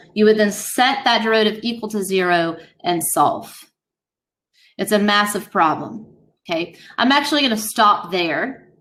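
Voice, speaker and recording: In a room with audible echo, a woman talks at a moderate pace and medium pitch, her pitch varying in an ordinary way. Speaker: high school math teacher. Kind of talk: classroom lecture.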